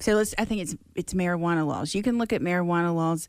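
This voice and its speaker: The recording is very clean, with a silent background. The speaker has a Mississippi accent. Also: woman. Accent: US Southern (Mississippi). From Mississippi Gulf Coast. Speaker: harm reduction advocate. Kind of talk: casual interview.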